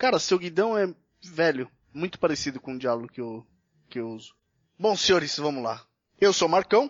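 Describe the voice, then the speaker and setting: A man at a moderate pace, with very wide pitch swings, big swings in loudness, and long, frequent pauses. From São Paulo state, Brazil (São Paulo city, then Mogi Mirim). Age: 30s. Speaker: motorcycle podcast host. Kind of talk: casual chat. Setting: remote call.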